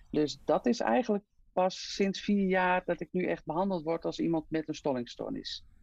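Her voice is fairly low for a woman, with lively intonation at a moderate pace, recorded dry and close with no echo against a quiet background. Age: 50s. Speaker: hemophilia patient and mother. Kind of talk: interview. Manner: halting with many fillers.

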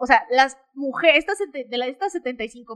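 A woman with a Mexican accent speaks in a bright, sharp tone at a high pitch. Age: 20s. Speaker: fitness podcaster. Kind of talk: casual talk-show monologue.

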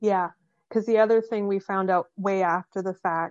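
In an ordinary speaking voice, a woman talks at a medium pitch and a moderate pace with fairly even intonation, against a quiet background with a dry, close sound with no echo. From Canada. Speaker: paranormal investigator. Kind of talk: casual chat.

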